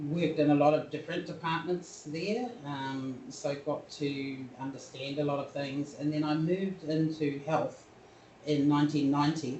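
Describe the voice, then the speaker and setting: A woman speaks with a New Zealand accent in a very deep, low pitch, using fairly even intonation at a fairly slow pace. Noticeable background noise and audible room echo come through. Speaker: health consultant. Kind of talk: webinar interview. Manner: clear, careful speech.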